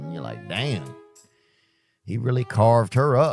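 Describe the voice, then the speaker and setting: With music in the background, a man with a Southern US accent talks with ordinary pitch variation. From Louisiana, Southern US. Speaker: stand-up comedian and podcast host. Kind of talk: comedic podcast storytelling. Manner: casual, rambling, humorous.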